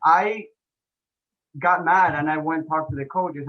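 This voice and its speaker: A man with an Argentine accent speaks at a fairly slow pace. His fairly high voice keeps a fairly even intonation. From Argentina. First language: Spanish. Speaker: health and fitness coach, ex-pro soccer player. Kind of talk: podcast interview. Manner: hesitant, many fillers.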